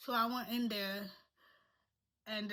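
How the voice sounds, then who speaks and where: In a non-native accent, a woman speaks at a moderate pace with a fairly high pitch, a bright, sharp tone and monotone, flat intonation. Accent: non-native accent, noticeable. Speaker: vlogger. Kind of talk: personal storytelling. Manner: halting.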